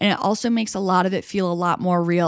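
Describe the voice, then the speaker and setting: A plain, everyday voice with ordinary pitch variation, on a very clean recording with a silent background. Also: woman. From New York State, small town. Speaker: podcast host. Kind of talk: solo podcast monologue. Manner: casual, filler-heavy.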